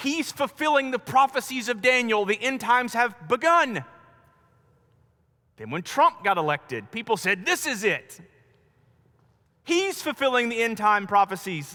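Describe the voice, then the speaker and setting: A man with an American accent uses a raised, projected voice at an extremely high pitch, with very wide pitch swings and a bright, sharp tone. His delivery is animated, at a moderate pace with long, frequent pauses. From US South, North Carolina. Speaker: pastor. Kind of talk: sermon.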